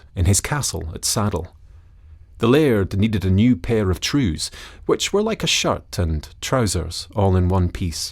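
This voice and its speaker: A man with a Scottish accent talks at a fairly slow pace, his voice somewhat breathy and fairly low in pitch with lively intonation. The recording is very clean, with a silent background. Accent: Scottish, put on for story. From Scotland. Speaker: storyteller. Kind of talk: storytelling.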